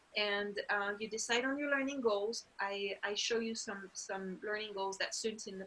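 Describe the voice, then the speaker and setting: A woman's medium-pitched voice with a French accent, moderate pace, and ordinary pitch variation. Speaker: language teacher and program instructor. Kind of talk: informational webinar. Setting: online video webinar. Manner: casual, with frequent fillers.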